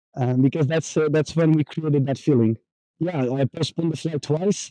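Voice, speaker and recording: At a moderate pace, a man speaks at a fairly high pitch with a dark, mellow tone and ordinary pitch variation, in a dry, close sound with no echo. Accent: Portuguese. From Portugal, Porto. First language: Portuguese. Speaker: digital nomad. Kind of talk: casual chat. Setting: outdoors. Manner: halting.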